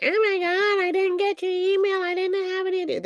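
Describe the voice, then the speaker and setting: This put-on character voice is extremely high in pitch and moves at a fairly quick pace. Its intonation stays monotone and flat over light background noise. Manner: exaggerated impression.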